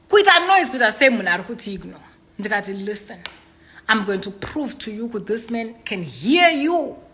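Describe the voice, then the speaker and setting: Over noticeable background noise and audible room echo, a woman talks at a fairly high pitch and a fairly quick pace, her intonation lively and her loudness swinging widely. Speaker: inspirational speaker. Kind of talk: livestream monologue.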